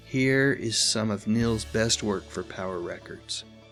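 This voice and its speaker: A man talks at a medium pitch. His intonation is lively, and music plays in the background. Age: old. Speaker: nostalgia video host. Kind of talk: casual nostalgic talk to camera. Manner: enthusiastic.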